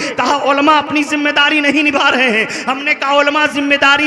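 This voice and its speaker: A man uses a raised, projected voice at an extremely high pitch. Background noise is noticeable. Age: 40s. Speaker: Islamic preacher. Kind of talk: sermon.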